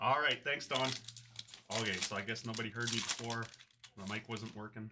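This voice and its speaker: Speaking at a fairly quick pace, the man has a medium pitch. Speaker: card collector breaking packs. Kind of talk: live stream pack opening. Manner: animated.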